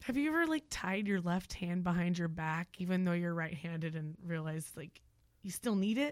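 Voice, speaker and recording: Woman with an American accent and a fairly low pitch, moderate pace and ordinary pitch variation, on a very clean recording with a silent background. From Oklahoma. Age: 30s. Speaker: stand-up comedian. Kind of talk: casual chat.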